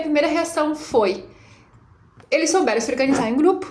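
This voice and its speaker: At a fairly quick pace, a woman talks at a high pitch with ordinary pitch variation, amid audible room echo and noticeable background noise. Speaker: teacher. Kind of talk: reflective monologue. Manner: fast.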